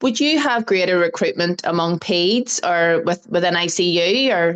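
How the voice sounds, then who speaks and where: With an Irish accent, a woman talks at a fairly slow pace in a fairly low pitch. Her pitch varies in an ordinary way against a quiet background. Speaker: research nurse. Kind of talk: casual chat.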